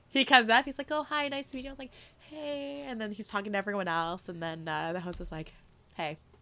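A woman with a Canadian accent, medium pitch, very fast pace, animated tone, very wide pitch swings and big swings in loudness. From Mississauga, Ontario, Canada. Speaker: sports in-game host. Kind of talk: casual chat. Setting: studio.

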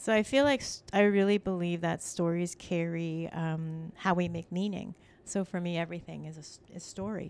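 A woman with a Canadian accent speaks in an ordinary speaking voice at a moderate pace, with ordinary pitch variation and hardly any pauses, on a very clean recording with a silent background. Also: fairly low pitch for a woman. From Canada, Scarborough, Toronto. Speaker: fiction writer and educator. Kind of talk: interview. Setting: on location at Scarborough campus.

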